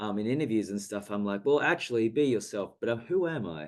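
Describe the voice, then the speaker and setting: A man talks at a very fast pace in an Australian accent. His medium-pitched voice has lively intonation. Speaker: actor. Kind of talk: casual video chat interview. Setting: video call.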